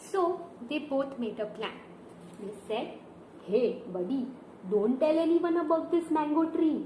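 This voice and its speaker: A woman speaks very slowly in a high pitch with lively intonation. Noticeable background noise runs underneath. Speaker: storyteller. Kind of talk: children's story narration with puppets. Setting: home video with hand puppets and picture book. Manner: upbeat, enthusiastic.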